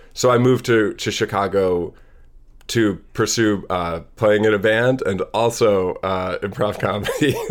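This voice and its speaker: In an American accent, an ordinary speaking voice moves at a fairly slow pace with fairly even intonation. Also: man, fairly low pitch for a man. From US Midwest, Madison, Wisconsin. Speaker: comedian and cartoonist. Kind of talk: casual chat.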